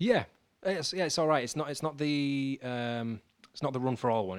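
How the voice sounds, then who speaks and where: Here a man speaks at a fairly quick pace. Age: 20s. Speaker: podcast co-host, amateur runner. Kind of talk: casual chat. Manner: halting, many fillers.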